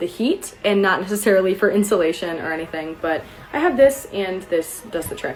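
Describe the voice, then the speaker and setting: A woman talks at an unhurried yet not slow rate while music plays behind her. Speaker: study abroad student. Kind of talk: casual vlog Q&A. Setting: her room.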